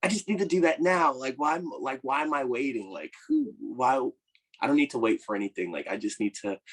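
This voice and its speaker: A man with an American accent at a fairly quick pace, his pitch swinging very widely, in a dry, close sound with no echo. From Virginia, US. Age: 20s. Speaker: actor. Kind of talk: podcast interview. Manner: halting, filler-heavy.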